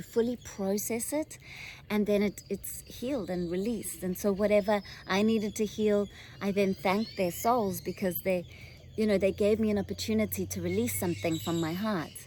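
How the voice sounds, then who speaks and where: A woman with a South African accent talks at a fairly quick pace and medium pitch, with a dark, mellow tone and ordinary pitch variation. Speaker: spiritual channeler. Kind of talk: channeled spiritual guidance talk. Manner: hesitant, many fillers; gentle, soothing.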